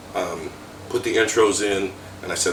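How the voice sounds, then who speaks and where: Talking at a very fast pace, a man with an American accent is heard amid noticeable background noise and audible room echo. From US South (South Florida). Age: 50s. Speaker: death metal vocalist. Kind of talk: interview. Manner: casual, conversational.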